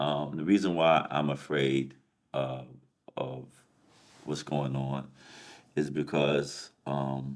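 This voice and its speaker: Very slow and monotone, with flat intonation and long, frequent pauses, a man speaks at a very deep, low pitch in an American accent. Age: 50s. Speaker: life coach. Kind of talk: casual chat. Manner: halting, many fillers and repeats.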